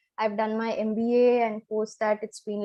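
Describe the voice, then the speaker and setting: A woman's fairly even intonation carries along at a moderate pace. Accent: Kannada. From Chennai, South India. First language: Kannada. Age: 20s. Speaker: financial planner sharing health story. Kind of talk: live interview. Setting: live stream.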